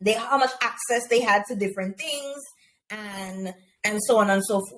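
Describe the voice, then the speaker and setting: A woman with a Caribbean accent speaks at a fairly slow pace and a fairly high pitch. Her pitch varies in an ordinary way. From Grenada, rural. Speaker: teacher. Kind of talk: interview conversation.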